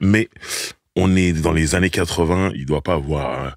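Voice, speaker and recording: A man speaks with vocal fry and fairly even intonation. The sound is dry with no echo, and the background is quiet. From Paris region, France; France. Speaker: podcast host. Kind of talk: casual chat. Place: studio. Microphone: studio mic.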